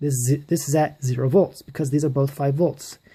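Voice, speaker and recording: A very deep, low-pitched woman's voice, somewhat breathy and dark and mellow in tone, at a moderate pace, on a very clean recording with a silent background. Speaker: electronics hobbyist. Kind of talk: casual electronics tutorial to camera. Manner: stutters a bit.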